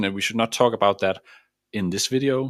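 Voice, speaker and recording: In a Danish accent, a man talks at a medium pitch with ordinary pitch variation, the sound dry and close with no echo on a very clean recording with a silent background. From Denmark. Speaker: mindset coach. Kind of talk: motivational talk.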